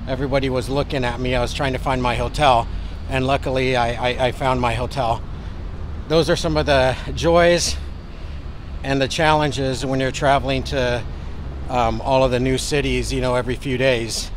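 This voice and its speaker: A man at a moderate pace with an American accent, amid audible room echo and noticeable background noise. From United States. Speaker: travel vlogger. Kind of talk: travel vlog narration. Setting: inside a church.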